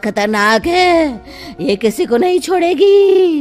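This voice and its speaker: This is a cartoonish character voice. Clear music plays in the background. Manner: cackling, menacing.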